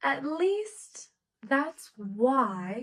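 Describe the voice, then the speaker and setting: A woman talks with an American accent. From US Midwest, Nebraska. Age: 20s. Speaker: English teacher. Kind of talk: slow English lesson podcast. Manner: slow; loud.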